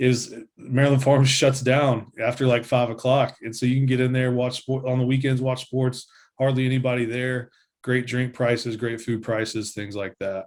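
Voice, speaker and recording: The speech comes at a moderate pace in a Tennessee accent, with monotone, flat intonation. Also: man, medium pitch for a man. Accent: Southern US (Tennessee). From US South, Nashville, Tennessee. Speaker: insurance agent. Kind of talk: casual interview.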